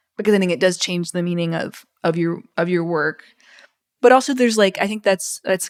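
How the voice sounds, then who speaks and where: A woman speaks with an American accent in an ordinary speaking voice, her pitch fairly low. She talks at a fairly quick pace. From US South, Mississippi. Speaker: author. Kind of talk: interview.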